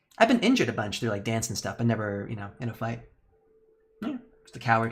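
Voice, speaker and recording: This man's voice is somewhat breathy, and his pitch moves up and down in an ordinary way. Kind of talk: casual, self-deprecating. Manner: fast talker.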